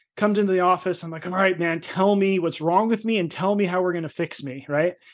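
A man speaks with an American accent at a high pitch. His intonation stays fairly even against a quiet background. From New Jersey. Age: 40s. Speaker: health coach and author. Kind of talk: podcast interview.

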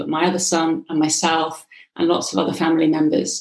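A woman has an unremarkable speaking voice, pitched fairly low. She talks at a fairly quick pace with fairly even intonation. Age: 50s. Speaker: hypnotherapist and coach. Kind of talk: interview.

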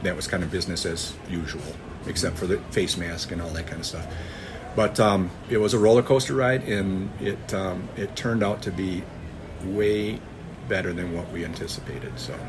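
A man with an American accent, a very deep, low pitch, ordinary pitch variation and a fairly quick pace, amid audible room echo and noticeable background noise. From US Midwest (northern Michigan). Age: 50s. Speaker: farmer. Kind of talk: interview. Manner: halting.

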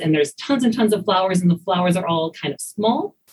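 A woman talks in a fairly low pitch with an American accent. Her voice is somewhat breathy, with ordinary pitch variation. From rural US, farm. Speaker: biology professor. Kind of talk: interview.

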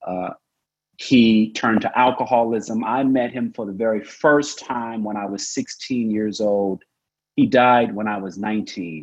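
At a fairly slow pace, a man with a plain, everyday voice speaks in an American accent at medium pitch. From Oklahoma. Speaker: tech founder and activist. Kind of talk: panel discussion. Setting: video call.

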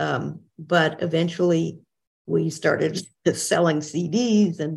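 The voice has vocal fry and fairly even intonation. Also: woman. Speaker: retired professor and interpreter trainer. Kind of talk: interview.

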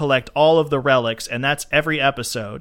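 A man with an American accent and a plain, everyday voice, fairly high in pitch with ordinary pitch variation at a moderate pace, on a very clean recording with a silent background. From Florida. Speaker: podcast co-host. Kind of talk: casual chat.

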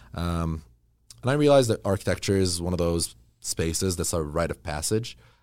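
Delivery is fairly quick, and the intonation stays lively throughout. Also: man, very deep, low pitch for a man. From Middle East. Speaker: real estate developer and architect. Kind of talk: casual chat. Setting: studio.

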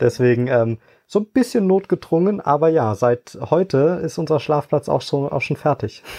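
A man with a fairly high pitch and a dark, mellow tone speaks at a moderate pace with lively intonation. The sound is dry and close with no echo, over a quiet background. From Eifel, western Germany. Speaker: management consultant and rally co-driver. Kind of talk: interview.

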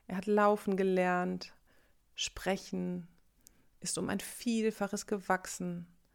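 A woman speaks very slowly at medium pitch in a calm, soothing tone. Her intonation is monotone and flat, on a very clean recording with a silent background. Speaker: meditation guide. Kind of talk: guided meditation. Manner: slow, calm, soothing; gentle, reflective, warmly intimate.

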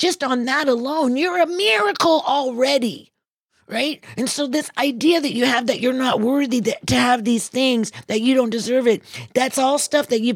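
Her voice sits high for a woman, with ordinary pitch variation and a moderate pace. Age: 60s. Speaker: motivational speaker. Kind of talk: inspirational talk.

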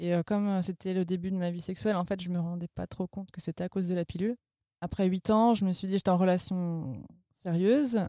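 On a very clean recording with a silent background and a dry, close sound with no echo, a woman at medium pitch speaks at a fairly quick pace, dark and mellow in tone, with fairly even intonation. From France, Vendée. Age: 30s. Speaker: podcast sound editor sharing sterilization experience. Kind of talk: testimony. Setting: studio.

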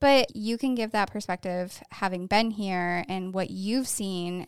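A woman with an American accent, medium pitch, very slow pace, and a very clean recording with a silent background. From upstate New York (Syracuse area). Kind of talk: casual chat. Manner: animated.

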